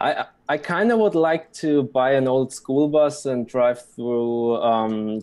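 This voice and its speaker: A man with a German accent and ordinary pitch variation. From Germany. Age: 20s. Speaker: blockchain website developer. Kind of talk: interview. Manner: halting.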